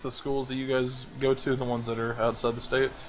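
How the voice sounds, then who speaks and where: A man's voice at a fairly quick pace. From US South, Atlanta, Georgia. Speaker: gaming clan host. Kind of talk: casual group voice chat. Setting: online voice chat.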